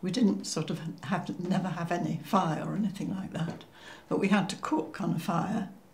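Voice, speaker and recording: Speaking at a moderate pace with fairly even intonation, a woman with a Cheshire accent is heard with audible room echo. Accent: northern English (Cheshire). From northern England, Cheshire. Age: 90s. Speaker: war-era eyewitness. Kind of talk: oral history interview. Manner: halting, with many fillers.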